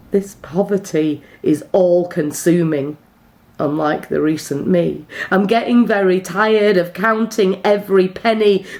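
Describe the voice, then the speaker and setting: This woman has an unremarkable speaking voice, speaking fairly slowly at a medium pitch with ordinary pitch variation. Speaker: poet. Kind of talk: slam poetry performance.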